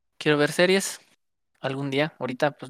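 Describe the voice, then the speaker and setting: A woman with a Mexican accent talks at a fairly quick pace with lively intonation, her voice sounding dry and close with no echo. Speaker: podcast co-host. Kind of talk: casual chat. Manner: animated.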